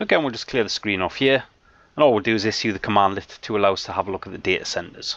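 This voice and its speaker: Someone with a British accent speaks at a very fast pace with ordinary pitch variation. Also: man, fairly low pitch for a man. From UK. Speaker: IT trainer. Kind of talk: tutorial.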